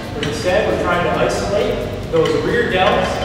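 A man at a moderate pace amid strong room echo and noticeable background noise. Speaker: fitness instructor. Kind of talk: tutorial. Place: gym.

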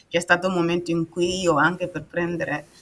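The speaker is a woman. Her pitch sits fairly low. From Burkina Faso. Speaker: patient and author. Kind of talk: personal testimony in interview. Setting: video call. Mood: calm, personal storytelling. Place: home room.

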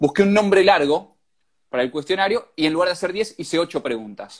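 A man speaks at a fairly quick pace in a high voice. His intonation is lively, and the background is quiet. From Argentina. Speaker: radio host running an Instagram live. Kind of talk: casual live-stream interview. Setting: Instagram live video call. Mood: friendly, playful. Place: home room. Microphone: earbuds.

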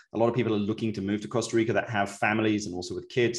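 Against a quiet background, a man with a British accent speaks with a fairly low pitch. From England. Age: 40s. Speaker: real estate podcast host; podcast host. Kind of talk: casual interview chat; scripted outro. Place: office.

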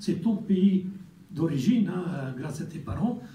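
A man with an Italian accent speaks in a high pitch. His pace is very slow. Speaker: representative of Italians abroad. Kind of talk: formal speech.

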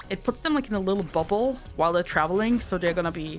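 Over music in the background, a woman with a German accent speaks in a fairly low voice. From Germany. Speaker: Twitch streamer. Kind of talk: game ability overview voiceover. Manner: casual.

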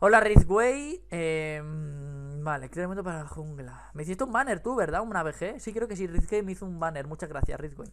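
Moderate pace with hardly any pauses, an animated tone, lively intonation and big swings in loudness over light background noise. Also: man, high pitch for a man. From Spain. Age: 20s. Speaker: YouTuber. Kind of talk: casual chat. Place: home room. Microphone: headset.

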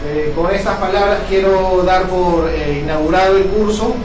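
Amid audible room echo and noticeable background noise, a high-pitched man speaks at a fairly slow pace with fairly even intonation. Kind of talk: formal opening speech. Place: meeting room. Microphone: camera far.

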